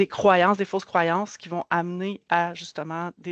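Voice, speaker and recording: With a Quebec accent, a woman speaks at a moderate pace in a fairly low pitch, her intonation monotone and flat. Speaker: community organization worker. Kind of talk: presentation. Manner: halting, many repetitions.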